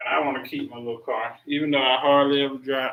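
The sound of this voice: A man talks at a fairly quick pace with a slight Southern US accent. His pitch sits fairly high. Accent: mild Southern country.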